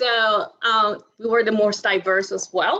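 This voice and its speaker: The voice has a bright, sharp tone. It carries a Spanish accent. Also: woman. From Dominican Republic. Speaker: alumni panelist. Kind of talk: panel discussion. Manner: halting, many fillers.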